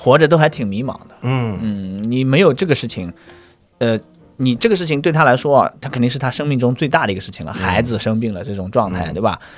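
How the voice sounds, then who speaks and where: Music runs in the background as a man speaks at a very fast pace and a medium pitch. His intonation is lively, with big swings in loudness. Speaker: stand-up comedian. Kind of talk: casual chat.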